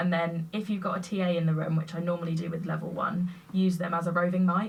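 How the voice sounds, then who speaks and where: A fairly low-pitched woman, very fast, monotone and flat, over noticeable background noise. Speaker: teacher. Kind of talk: casual chat. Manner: loud and clear.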